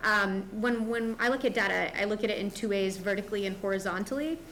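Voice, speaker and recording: A woman talks at a fairly high pitch. She has an ordinary speaking voice. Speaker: school district administrator. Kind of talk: board meeting presentation. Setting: school board meeting.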